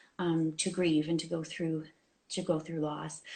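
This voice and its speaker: Somewhat breathy speech from a woman. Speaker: clinical counsellor. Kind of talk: interview on live video show. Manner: fast when excited.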